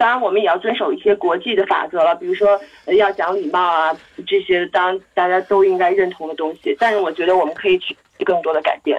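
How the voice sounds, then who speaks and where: At a fairly quick pace, a woman speaks in a normal speaking voice, her medium pitch showing ordinary variation. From Beijing, China. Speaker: marketing professional at a resort company. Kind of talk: casual discussion.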